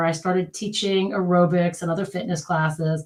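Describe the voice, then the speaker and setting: A woman with an American accent talks at a medium pitch. Her voice is somewhat breathy. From United States. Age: 50s. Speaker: physical therapist. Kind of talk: casual interview.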